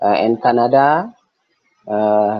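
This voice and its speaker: Speech in an Indonesian accent with ordinary pitch variation. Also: man. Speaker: coffee cooperative representative. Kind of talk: webinar presentation. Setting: video call. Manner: slow, halting.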